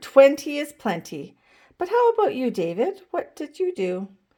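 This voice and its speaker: A woman performs a put-on character voice, high-pitched and sing-song, with very wide pitch swings at a moderate pace. The recording is very clean with a silent background. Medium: read story. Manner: sing-song rhyming.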